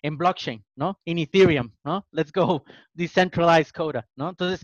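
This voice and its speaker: At a moderate pace, a man talks in an ordinary speaking voice at a fairly high pitch. The sound is dry and close with no echo, and the background is quiet. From Mexico, Tijuana. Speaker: podcast co-host. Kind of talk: interview.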